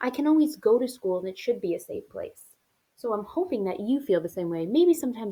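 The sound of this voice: A quiet background and an unforced reading voice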